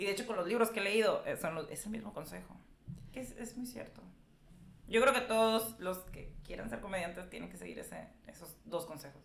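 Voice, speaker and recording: A woman with medium pitch and ordinary pitch variation speaks with vocal fry. Her loudness swings widely. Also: fairly quick pace. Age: 30s. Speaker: stand-up comedian. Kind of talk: casual chat.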